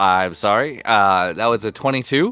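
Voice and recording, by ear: The tone is clear and smooth, yet bright and sharp. Pitch varies in an ordinary way at a moderate pace. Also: man, fairly low pitch for a man.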